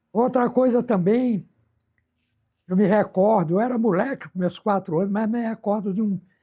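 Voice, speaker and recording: Pausing long and often, a man speaks at a moderate pace with a dark, mellow tone and fairly even intonation. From Brazil, Bahia (Miguel Calmon). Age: 80s+. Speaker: elderly local resident recalling town history. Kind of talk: oral history interview. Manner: halting, frequent repetitions.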